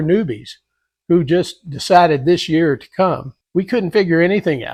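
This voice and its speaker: Against a quiet background, a man with a high voice talks at a moderate pace with ordinary pitch variation. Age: 60s. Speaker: car enthusiast vlogger. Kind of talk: open letter monologue. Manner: halting, many filler words.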